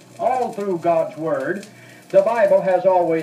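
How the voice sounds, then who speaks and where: Over noticeable background noise, a man speaks fairly slowly in a high pitch with lively intonation. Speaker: preacher / political speaker on a 1968 spoken word record. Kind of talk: fiery sermon-style political speech. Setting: old vinyl record recording. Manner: earnest, fervent, preaching.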